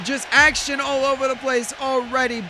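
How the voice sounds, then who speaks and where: A man talks in a raised, projected voice. Noticeable background noise runs behind him. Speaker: wrestling commentator. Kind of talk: play-by-play sports commentary. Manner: fast, excited.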